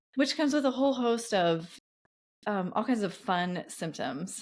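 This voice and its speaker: A woman's voice swings very widely in pitch on a very clean recording with a silent background. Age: 40s. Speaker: podcast host. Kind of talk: casual chat.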